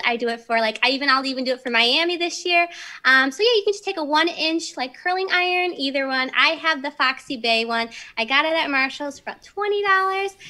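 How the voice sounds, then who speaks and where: A woman's raised, projected voice, bright and sharp in tone, with lively intonation at a fairly quick pace over a quiet background. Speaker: remote guest. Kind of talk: tutorial. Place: home room. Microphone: video call.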